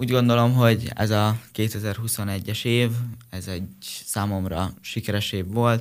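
A man's fairly low voice at a very slow pace, with monotone, flat intonation. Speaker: karate athlete. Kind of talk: radio interview.

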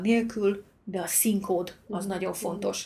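Somewhat breathy, a woman with a medium pitch speaks in a monotone, flat intonation. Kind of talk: casual conversation.

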